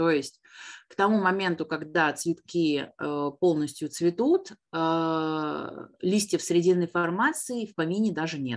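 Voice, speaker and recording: A woman with a fairly low pitch talks at a very slow pace. Her intonation is lively. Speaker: botany teacher. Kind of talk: online lesson. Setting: video call. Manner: animated.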